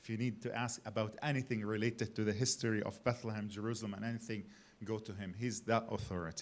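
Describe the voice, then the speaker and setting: A man's fairly low, monotone voice with flat intonation at a very fast pace. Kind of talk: conference talk.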